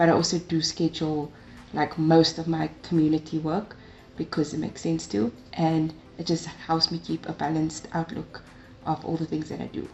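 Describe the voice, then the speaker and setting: A woman talks at a moderate pace in a very deep, low voice with vocal fry and flat, monotone intonation. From South Africa, Cape Town. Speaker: tech community ambassador and master's student. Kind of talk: interview.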